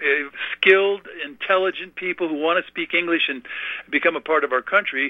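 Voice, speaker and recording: Talking at a fairly quick pace, a man uses a high pitch with fairly even intonation. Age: 70s. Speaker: author. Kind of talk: interview. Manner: halting.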